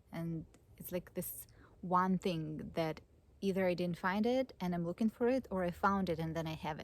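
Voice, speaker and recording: A woman talks at a moderate pace with a non-native accent. Her pitch is medium, with ordinary variation. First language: not English. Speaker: psychologist and spiritual teacher. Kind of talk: personal vlog monologue. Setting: outdoors under an oak tree. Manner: halting.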